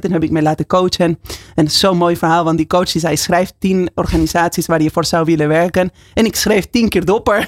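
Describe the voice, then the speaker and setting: A woman with a fairly low pitch talks at a fairly quick pace with fairly even intonation. The sound is dry and close, with no echo. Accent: Spanish. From Argentina, Buenos Aires. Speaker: company CEO. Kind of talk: radio interview. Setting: studio.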